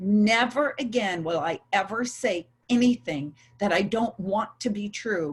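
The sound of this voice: A woman's fairly slow delivery with a slightly husky edge and ordinary pitch variation. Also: medium pitch for a woman.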